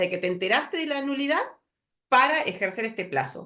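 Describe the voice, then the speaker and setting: Speaking at a fairly quick pace in a Rioplatense accent, a woman's pitch swings very widely. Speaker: lawyer lecturer. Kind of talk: lecture. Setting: video call. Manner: fast; halting.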